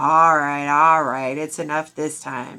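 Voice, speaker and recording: A put-on character voice, female-sounding, loud and raspy at a low-to-middle pitch, comes at a fairly slow pace with monotone, flat intonation in a very clean recording with a silent background. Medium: read story. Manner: loud, mocking.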